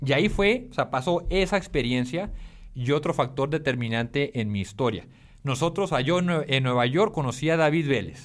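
A man's fairly high voice with a Colombian accent, lively intonation, very even loudness and a moderate pace. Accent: Colombian-sounding Spanish. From Mexico, Tijuana. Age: 30s. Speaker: startup founder. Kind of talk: casual interview.

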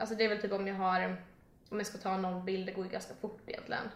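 A woman at a very fast pace amid noticeable background noise and audible room echo. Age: 20s. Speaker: social media content creator. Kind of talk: casual chat.

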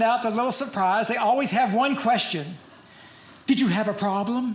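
With an American accent and an extremely high pitch, a man speaks amid audible room echo and crowd noise in the background. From Louisville, Kentucky. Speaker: stand-up comedian. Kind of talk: stand-up. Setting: stage with audience.

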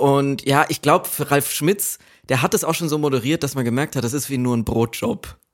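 A man with a plain, everyday voice talks at a moderate pace and a fairly high pitch. His pitch varies in an ordinary way, and the recording is very clean with a silent background. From Germany, Aschaffenburg (Lower Franconia). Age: 20s. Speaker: author of a graphic novel. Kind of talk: casual chat.

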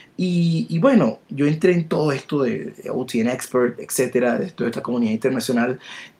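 The speaker goes at a moderate pace with hardly any pauses and lively intonation. Background noise is noticeable. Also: man, medium pitch for a man. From Latin America. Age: 40s. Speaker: database expert. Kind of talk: interview. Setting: live stream.

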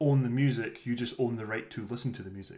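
A man speaks with a Scottish accent. His intonation stays fairly even. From Scotland. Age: 30s. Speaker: podcast co-host. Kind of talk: casual chat.

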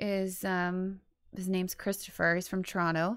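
A woman's medium-pitched voice at a fairly slow pace on a very clean recording with a silent background. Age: 30s. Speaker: musician and actress, mother. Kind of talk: casual chat. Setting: studio.

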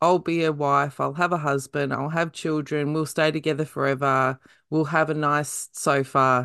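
Over a quiet background, a woman with an Australian accent talks at a fairly slow pace in a very deep, low pitch. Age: middle-aged. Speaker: podcast host. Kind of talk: interview; casual chat.

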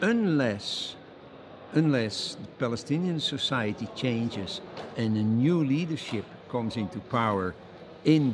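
A man with a Dutch accent speaks with ordinary pitch variation over noticeable background noise. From Netherlands. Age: 70s. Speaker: think tank co-founder, international law advocate. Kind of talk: interview. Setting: at a conference.

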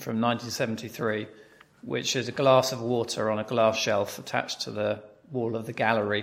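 A man speaks with a British accent. Vocal fry runs through his voice. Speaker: podcast host. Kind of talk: interview, conversational.

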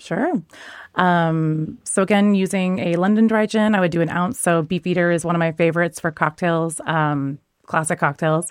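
A woman with an American accent has an unremarkable speaking voice, a fairly low pitch, and ordinary pitch variation at a moderate pace with very even loudness. The recording is very clean, with a silent background, and the sound is dry and close with no echo. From US Pacific Northwest. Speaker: bartender and spirits judge. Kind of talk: casual interview chat.

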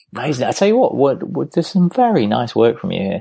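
This man speaks at a fairly quick pace. Vocal fry runs through his voice. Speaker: podcast co-host. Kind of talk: casual banter. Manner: swearing, jokey.

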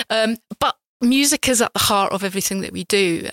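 A woman with a plain, everyday voice speaks at a medium pitch and a fairly quick pace, with ordinary pitch variation. The sound is dry and close, with no echo. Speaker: arts venue chief executive. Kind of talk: casual interview. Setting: venue foyer.

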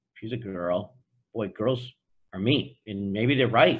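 Somewhat breathy, a man with an American accent talks at a moderate pace with lively intonation. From US Northeast (Boston). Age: 60s. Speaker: entrepreneur. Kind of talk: interview. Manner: direct, assertive with a warm tone.

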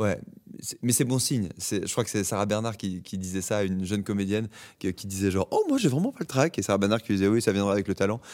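On a very clean recording with a silent background, a man with a fairly low pitch talks at a fairly quick pace with ordinary pitch variation. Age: 30s. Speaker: actor. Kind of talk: casual interview. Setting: theatre stage. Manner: halting, many repetitions.

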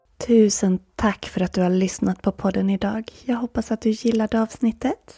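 A woman's somewhat breathy voice, dark and mellow, with a soothing, calm tone and a dry, close sound with no echo. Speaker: podcast host and yoga instructor. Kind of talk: guided meditation. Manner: slow, soothing, calm; paced counting, long pauses.

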